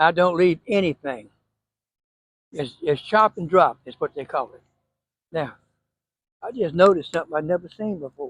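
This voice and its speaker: A man with a Southern US accent, high-pitched, at a moderate pace, with ordinary pitch variation, big swings in loudness and long, frequent pauses, in a dry, close sound with no echo. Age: 80s+. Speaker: home gardener. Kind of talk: casual tutorial. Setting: outdoors. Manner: folksy, conversational.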